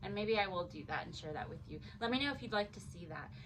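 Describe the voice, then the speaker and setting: A woman with a medium pitch speaks with lively intonation, and audible room echo surrounds her voice. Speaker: crafting YouTuber. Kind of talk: casual unboxing vlog. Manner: animated.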